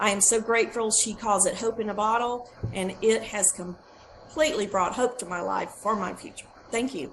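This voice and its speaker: A woman talks at a moderate pace in a fairly high voice with ordinary pitch variation. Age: 60s. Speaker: product testimonial giver. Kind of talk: testimony. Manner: halting.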